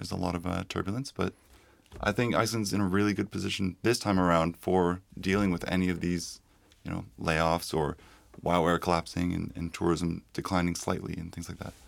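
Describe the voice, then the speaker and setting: With a Canadian accent, a man speaks in a very deep, low pitch and fairly even intonation. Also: fairly quick pace. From Canada, Toronto. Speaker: visual effects supervisor. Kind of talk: casual chat.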